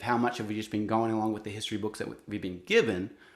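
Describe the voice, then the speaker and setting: With an Australian accent, a man talks very fast at a medium pitch. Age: 40s. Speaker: singer-songwriter. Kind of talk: interview. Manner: halting.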